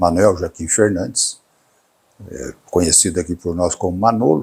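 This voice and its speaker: A man speaks at a moderate pace in a very deep, low voice with ordinary pitch variation. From Brazil, Garça, São Paulo state. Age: 70s. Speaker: coffee grower and cattle breeder. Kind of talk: interview storytelling. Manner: halting, with fillers and repetitions.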